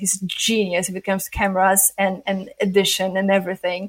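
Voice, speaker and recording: The speaker has a non-native accent and a moderate pace. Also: woman. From Poland. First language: not English. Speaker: adult film performer and director. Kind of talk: interview.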